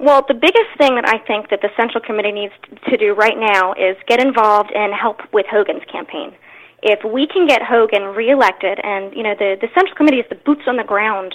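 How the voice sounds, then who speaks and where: A woman has an ordinary speaking voice, fairly high in pitch, with ordinary pitch variation. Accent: American. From Maryland, Anne Arundel County. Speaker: political candidate, stay-at-home mother. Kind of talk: interview.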